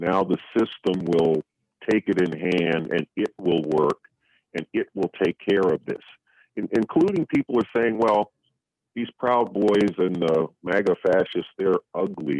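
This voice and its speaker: A man speaks with a very deep, low pitch and ordinary pitch variation. The pace is fairly slow, and the sound is dry and close with no echo. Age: 70s. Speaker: revolutionary communist activist. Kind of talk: radio interview.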